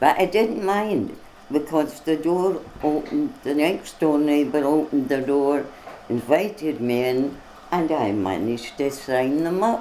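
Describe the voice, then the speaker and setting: A woman with a Scottish accent, very deep and low in pitch, with lively intonation at a fairly slow pace over noticeable background noise. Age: 80s+. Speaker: political party member. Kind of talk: interview. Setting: on location in Glasgow.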